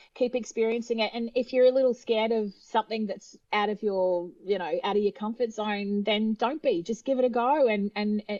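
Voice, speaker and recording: This woman speaks with an Australian accent. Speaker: opera singer. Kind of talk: interview.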